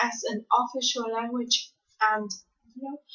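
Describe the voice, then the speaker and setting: Speaking with a Vietnamese accent, a woman has a high pitch and ordinary pitch variation. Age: 20s. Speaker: university student. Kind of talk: spoken class assignment monologue. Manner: hesitant, many fillers.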